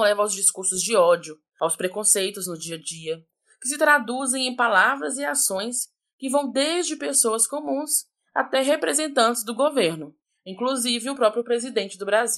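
At a moderate pace, a woman with a fairly high pitch speaks in very wide pitch swings. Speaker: sociology educator, podcast host. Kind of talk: scripted narration. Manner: casual, conversational.

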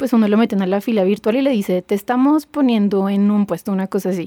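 A woman speaks at a very fast pace with a fairly high pitch and fairly even intonation. Her dark, mellow tone comes through a dry, close sound with no echo. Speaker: podcast guest, K-pop fan. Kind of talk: casual chat.

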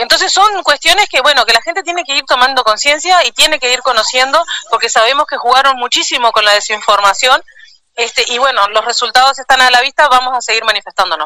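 Raising and projecting her high voice, a woman speaks at a very fast pace with lively intonation in a dry, close sound with no echo. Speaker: trade union leader. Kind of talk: interview.

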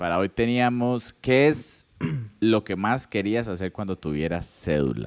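In a very clean recording with a silent background, a man uses an unremarkable speaking voice at a fairly low pitch, with lively intonation and a fairly slow pace. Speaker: podcast host. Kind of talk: casual chat.

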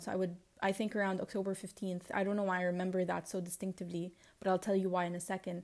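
At a very fast pace, a woman talks at medium pitch. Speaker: podcast host. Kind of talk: solo personal podcast monologue, audio diary. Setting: alone at home. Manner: reflective, casual, rambling.

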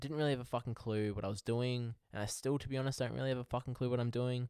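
Very clean recording with a silent background. A man with an Australian accent talks at medium pitch with ordinary pitch variation. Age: 20s. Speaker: podcast host. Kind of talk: casual monologue.

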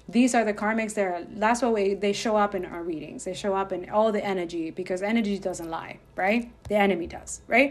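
With music in the background, a woman talks at a fairly quick pace with hardly any pauses and fairly even intonation. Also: medium pitch for a woman. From Dominican Republic. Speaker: podcast host and spiritual guide. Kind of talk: spiritual monologue. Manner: casual, filler-heavy; rushed.

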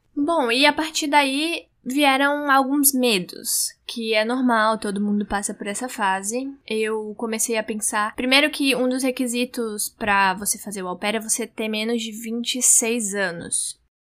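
In a very clean recording with a silent background, a woman with an ordinary speaking voice talks at a fairly slow pace with hardly any pauses, a fairly high pitch and ordinary pitch variation. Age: 20s. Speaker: journalism student, podcaster. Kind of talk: solo monologue, personal diary.

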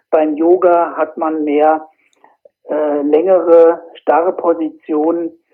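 A man speaks with a fairly high pitch. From Germany, Fulda area (Hesse). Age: 40s. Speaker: qigong instructor. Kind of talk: interview. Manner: hesitant, frequent filler sounds.

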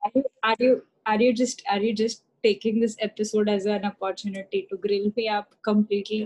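A woman's fairly high voice comes through dry and close with no echo, flat and monotone in intonation. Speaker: podcast co-host. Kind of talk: casual chat. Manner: slow talker.

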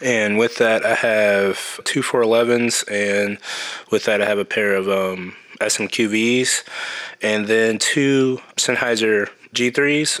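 This man talks very slowly with an American accent, his pitch medium and his intonation fairly even. Background noise is noticeable. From US Midwest, Kansas City, Missouri. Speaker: production sound mixer. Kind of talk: casual interview.

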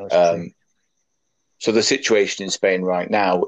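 Speaking with a Yorkshire accent, a man with a very deep, low pitch talks at a fairly slow pace, the sound dry and close with no echo and a quiet background. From Leeds, northern England. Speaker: rugby league administrator and podcast co-host. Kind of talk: casual chat.

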